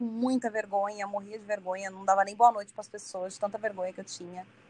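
A woman's fairly high voice, an ordinary speaking voice, in fairly even intonation. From Santos, São Paulo coast, Brazil. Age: 30s. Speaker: singer. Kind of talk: casual interview chat.

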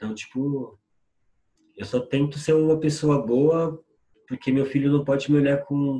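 At a fairly slow pace, a man speaks in a medium pitch, his tone dark and mellow and his voice somewhat breathy. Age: 40s. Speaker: musician and poet. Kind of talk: casual interview.

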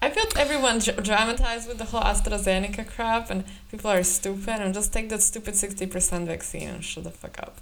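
A woman talks at a fairly quick pace, her pitch fairly high, with hardly any pauses. Background noise is noticeable. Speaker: podcast co-host. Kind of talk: casual banter podcast chat. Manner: joking, animated.

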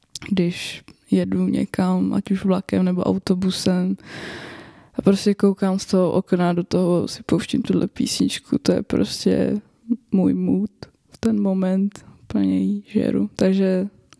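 A woman speaks at a very slow pace, her loudness swinging widely. The sound is dry and close, with no echo. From northern Bohemia, Czechia (Roudnice nad Labem). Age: 20s. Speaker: podcast co-host and university student. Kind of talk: casual chat.

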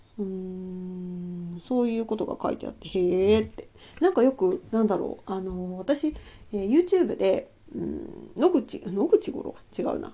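Speaking at a fairly slow pace, a woman shows big swings in loudness. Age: 40s. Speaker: solo channel host. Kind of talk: casual monologue about a book. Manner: hesitant, many fillers.

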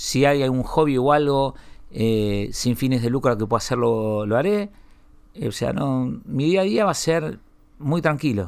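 Here is a man with an unremarkable speaking voice at medium pitch. His intonation is lively while his pace stays fairly slow. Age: 40s. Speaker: media entrepreneur. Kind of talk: interview. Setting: studio.

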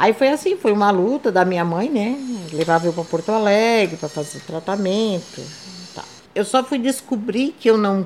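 A woman's medium-pitched, normal speaking voice at a moderate pace, with lively intonation. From southern Brazil, Santa Catarina coast. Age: 60s. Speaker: retired civil servant and seamstress, wheelchair user. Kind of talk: interview testimony.

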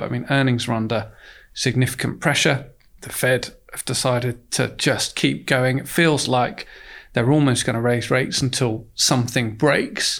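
In a very clean recording with a silent background, a man at a medium pitch speaks at a moderate pace with vocal fry. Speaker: fund manager. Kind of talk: professional investment podcast discussion.

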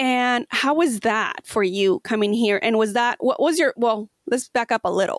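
A high-pitched woman with a non-native accent, very even loudness and hardly any pauses, dry, close sound with no echo, very clean recording, silent background. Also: ordinary pitch variation, moderate pace. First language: not English. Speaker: podcast host. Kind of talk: interview.

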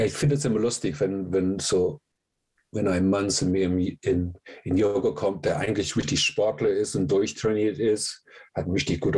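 Over a silent background in a very clean recording, a man speaks with a very deep, low pitch, somewhat breathy, with ordinary pitch variation. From England. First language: English (speaking German). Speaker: yoga teacher. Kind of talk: interview.

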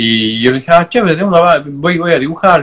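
His is an ordinary speaking voice, and he is a man. He moves at a fairly quick pace, and his pitch varies in an ordinary way. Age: 30s. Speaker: tattoo artist. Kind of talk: casual interview.

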